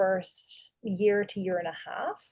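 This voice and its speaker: A woman speaks with an Irish accent. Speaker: dentist and practice owner. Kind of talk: webinar panel discussion. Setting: video call.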